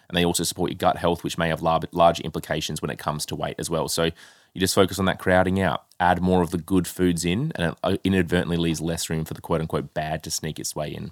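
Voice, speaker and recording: In a very clean recording with a silent background and a dry, close sound with no echo, a man with an Australian accent and a very deep, low pitch races along at a very fast pace with hardly any pauses. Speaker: health coach and podcast co-host. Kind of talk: casual chat. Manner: animated.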